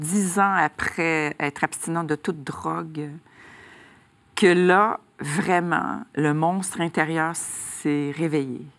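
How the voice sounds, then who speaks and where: In a strong Quebec accent, a woman speaks with a fairly low pitch and ordinary pitch variation. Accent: strong Québécois French. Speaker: author, recovered addict giving testimony; interview guest. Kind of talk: faith testimony interview. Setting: TV studio. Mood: warm, emotional personal testimony. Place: studio. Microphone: lapel.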